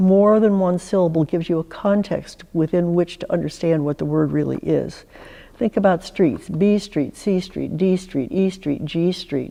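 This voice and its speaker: A woman with a fairly low pitch talks at a moderate pace with ordinary pitch variation. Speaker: psychoanalyst and singer. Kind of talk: talk to an audience. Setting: church chancel. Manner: clearly articulated, forward-placed voice.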